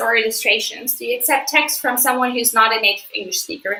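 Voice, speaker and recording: A woman with a non-native accent speaks in a raised, projected voice. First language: not English. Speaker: magazine editor. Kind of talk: live stream Q&A. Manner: hesitant with many fillers.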